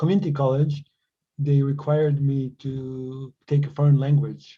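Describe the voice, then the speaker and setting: A man with a Croatian accent speaks at a moderate pace in a fairly high, dark and mellow, somewhat breathy voice. His intonation stays monotone and flat. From Croatia / Bosnia (born in Sarajevo). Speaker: tech company co-founder. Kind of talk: podcast interview. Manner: halting, many repetitions and fillers.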